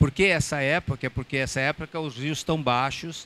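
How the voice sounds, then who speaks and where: A man's voice has a bright, sharp tone at a moderate pace. The sound is dry and close, with no echo. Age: 70s. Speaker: sailor and talk speaker. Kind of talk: public talk with audience Q&A. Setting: stage with audience at boat show.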